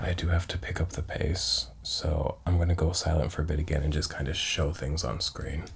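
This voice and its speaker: Soft-spoken with a very deep, low pitch, a man talks at a fairly quick pace with hardly any pauses and fairly even intonation over noticeable background noise. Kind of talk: ASMR soft-spoken talk to camera.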